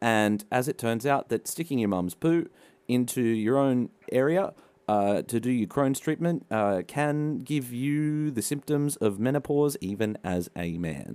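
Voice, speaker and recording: With an Australian accent, a man speaks at a medium pitch in a dark, mellow tone. His intonation is lively, his pace fairly slow, and the recording very clean with a silent background. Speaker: podcast co-host. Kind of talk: casual comedic podcast chat.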